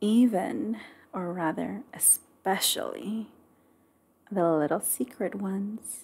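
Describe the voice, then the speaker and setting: The voice has lively intonation and a gentle, dark, mellow tone that is somewhat breathy. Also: woman. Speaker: ASMR creator. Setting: close-mic studio recording. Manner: soft, slow, gentle and nurturing, with affectionate pet names and giggles.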